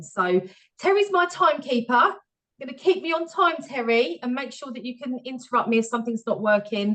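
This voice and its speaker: A woman speaks at a fairly quick pace, her pitch swinging very widely. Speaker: HR professional, webinar speaker. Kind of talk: webinar presentation. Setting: video call webinar. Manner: fast.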